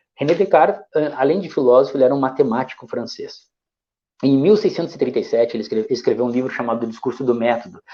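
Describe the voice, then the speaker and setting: A man's fairly high voice, dark and mellow in tone, races at a very fast pace with ordinary pitch variation. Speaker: educator. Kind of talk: lecture.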